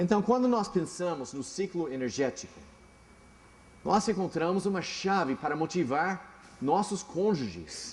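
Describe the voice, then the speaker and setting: This man has a high-pitched voice. He speaks at a fairly slow pace. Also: lively intonation. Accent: English. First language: English (speaking Portuguese). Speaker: pastor. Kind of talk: sermon. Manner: halting.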